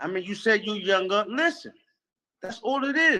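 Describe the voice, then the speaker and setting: A man with a high-pitched, bright, sharp voice speaks in a raised, projected voice at a fairly slow pace with lively intonation. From New York City. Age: 50s. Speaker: podcast host. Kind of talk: heated debate. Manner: animated.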